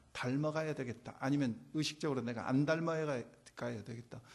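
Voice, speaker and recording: A man talks at a moderate pace in an unremarkable speaking voice, pitched fairly high. The background is quiet. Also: big swings in loudness. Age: 60s. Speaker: pastor. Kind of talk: sermon. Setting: church. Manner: conversational.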